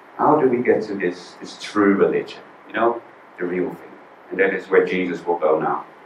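Amid noticeable background noise and audible room echo, a man talks at a moderate pace with big swings in loudness. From Netherlands. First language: Dutch. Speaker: visiting preacher. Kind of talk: sermon. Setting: church.

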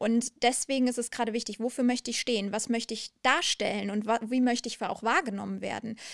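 A woman talks at a very fast pace and a fairly high pitch. The very clean recording has a silent background and a dry, close sound with no echo. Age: 30s. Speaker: HR and employer branding manager. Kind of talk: interview. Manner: energetic; passionate.

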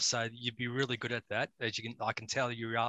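A man's bright, sharp tone in a dry, close sound with no echo. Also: quiet background. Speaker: mental health podcast host. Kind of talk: interview.

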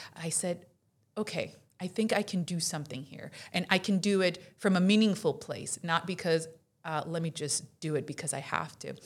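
A somewhat breathy woman at a fairly low pitch and moderate pace, with ordinary pitch variation, on a very clean recording with a silent background. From Colombia and Florida, US. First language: Spanish. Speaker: insurance director. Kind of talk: casual interview chat.

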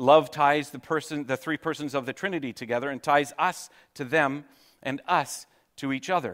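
A man with a plain, everyday voice, fairly high in pitch, talks at a moderate pace in a very clean recording with a silent background. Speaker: pastor. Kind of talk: sermon. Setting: church.

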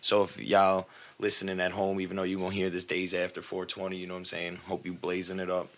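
At a fairly quick pace, a man with a New York accent talks in a very deep, low pitch and a monotone, flat intonation. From New York, Long Island. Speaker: podcast co-host. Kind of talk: casual chat. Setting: studio.

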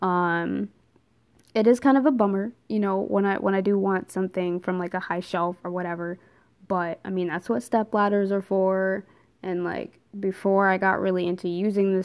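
Recorded very cleanly against a silent background, a woman talks fairly quickly in a normal speaking voice, medium in pitch with fairly even intonation. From New Jersey. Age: 20s. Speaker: podcast host and social worker. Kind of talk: casual monologue. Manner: casual, many filler words.

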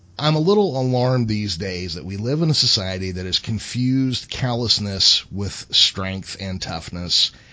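Fairly low in pitch, a man with a plain, everyday voice talks at a moderate pace with lively intonation, big swings in loudness and hardly any pauses. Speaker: podcast co-host. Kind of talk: casual podcast chat.

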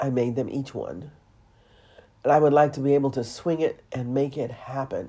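In a dark, mellow tone, the speech moves at a moderate pace with fairly even intonation and long, frequent pauses. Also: woman, very deep, low pitch for a woman. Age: 60s. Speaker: podcast host. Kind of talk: monologue podcast, spiritual talk.

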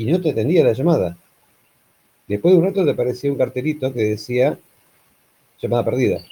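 With an Argentine accent, a man speaks fairly quickly at a medium pitch, his dark, mellow voice somewhat breathy and his intonation lively, broken by long, frequent pauses. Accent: Argentine Rioplatense. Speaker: podcast co-host. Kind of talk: casual chat.

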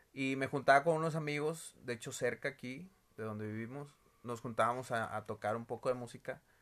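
A man with a northern Mexican accent speaks at a fairly quick pace in a bright, sharp tone, on a very clean recording with a silent background. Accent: northern Mexican (Monterrey). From Mexico, Monterrey. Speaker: co-host, musician, father. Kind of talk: casual family chat.

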